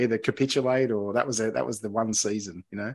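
A man with an Australian accent talks very fast. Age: 40s. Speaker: podcast host. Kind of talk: casual chat. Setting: remote call.

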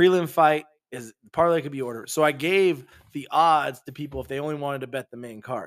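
A man with an ordinary speaking voice at a fairly high pitch and fairly quick pace, with ordinary pitch variation and big swings in loudness. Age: 30s. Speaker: podcast co-host. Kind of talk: casual chat.

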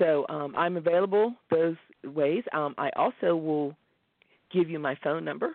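Speaking at a fairly slow pace, a woman has a plain, everyday voice, fairly low in pitch, with ordinary pitch variation. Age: 50s. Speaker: life coach. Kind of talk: interview.

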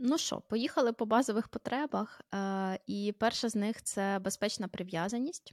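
At a moderate pace with hardly any pauses and ordinary pitch variation, a plain, everyday voice comes through on a very clean recording with a silent background and a dry, close sound with no echo. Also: woman, fairly high pitch for a woman. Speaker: podcast host, mother. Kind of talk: casual chat.

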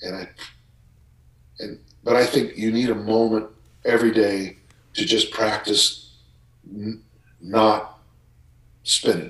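The speaker is a man with a fairly low voice. He goes at a fairly slow pace with fairly even intonation. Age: 60s. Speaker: strength coach. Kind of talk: casual chat.

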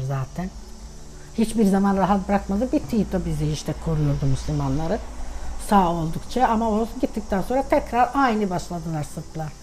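A woman with a normal speaking voice talks at a moderate pace and a medium pitch. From Sandžak, Serbia (Tutin), Bosniak family; moved to Turkey at 13. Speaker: grandmother sharing family history. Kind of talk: casual family interview, life story.

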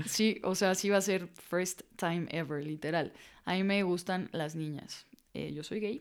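A woman speaks at a fairly slow pace in a fairly low pitch. Hers is an unremarkable speaking voice with ordinary pitch variation. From Mexico. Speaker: footballer and author. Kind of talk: testimony.

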